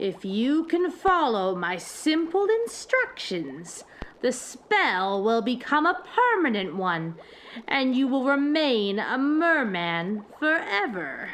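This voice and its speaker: A put-on character voice moves at a very slow pace. Its pitch swings very widely over light background noise. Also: female-sounding voice, high pitch for a woman. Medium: read story. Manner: cooing, falsely soothing.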